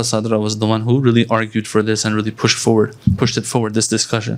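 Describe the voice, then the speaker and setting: A man at medium pitch, very fast pace, with noticeable background noise. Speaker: Islamic scholar. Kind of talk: religious lecture. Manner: conversational.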